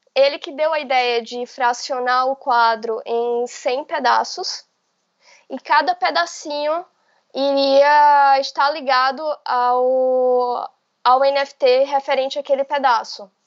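A woman's high-pitched voice at a very slow pace, with fairly even intonation. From Bahia, Brazil. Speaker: intellectual property lawyer. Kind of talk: interview.

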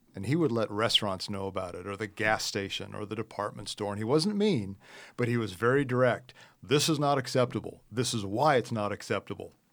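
Speaking in a Midwestern American accent, a man has a fairly low pitch. He moves at a fairly quick pace with ordinary pitch variation. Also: very clean recording, silent background. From US Midwest. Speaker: software executive. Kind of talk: podcast interview. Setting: studio.

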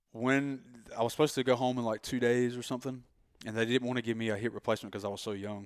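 A man in a strong Southern US accent, medium-pitched with fairly even intonation, talking at a very fast pace broken by long, frequent pauses, on a very clean recording with a silent background. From North Carolina. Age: 30s. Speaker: graphic artist. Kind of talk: casual chat.

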